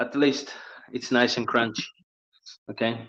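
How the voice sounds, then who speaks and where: The man speaks with monotone, flat intonation. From Italy. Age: 30s. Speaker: chef. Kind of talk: live cooking tutorial. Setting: kitchen livestream.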